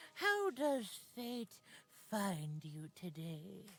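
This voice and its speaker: In a put-on character voice, the speaker goes very slowly with very wide pitch swings. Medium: video game. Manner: calm, mystical.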